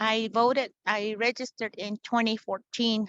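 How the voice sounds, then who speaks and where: A woman with an unremarkable speaking voice talks at a fairly slow pace and a fairly high pitch. The sound is dry and close, without echo. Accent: American. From Hopi Reservation, northeast Arizona. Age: 60s. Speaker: community voter organizer. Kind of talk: personal testimony in an interview.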